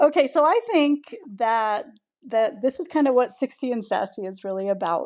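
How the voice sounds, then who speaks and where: A woman with an unremarkable speaking voice, ordinary pitch variation and a fairly slow pace. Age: 60s. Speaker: podcast co-host. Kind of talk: casual chat.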